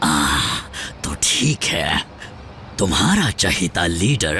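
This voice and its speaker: Putting on a character voice, a man speaks very slowly at a very deep, low pitch over clear background noise. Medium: fan dub. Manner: whiny, sly, self-pitying.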